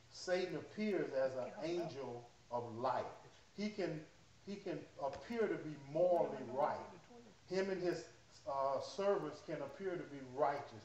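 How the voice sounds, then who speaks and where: Long, frequent pauses from a man at a fairly slow pace, with ordinary pitch variation, audible room echo and light background noise. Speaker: pastor. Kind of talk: sermon. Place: church. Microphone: camera far.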